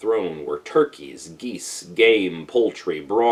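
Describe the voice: Here is someone doing plain reading aloud.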